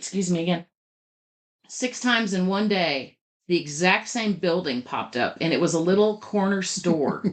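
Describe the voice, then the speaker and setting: At a moderate pace, a woman with a normal speaking voice at medium pitch speaks with lively intonation. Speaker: podcast co-host, publishing company head. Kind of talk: casual explanatory chat.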